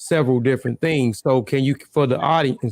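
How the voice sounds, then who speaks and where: The sound is dry and close, with no echo. A man speaks at a medium pitch with fairly even intonation. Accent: strong Southern US. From Mississippi, US South. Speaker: interview show host. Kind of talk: casual interview. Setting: live stream.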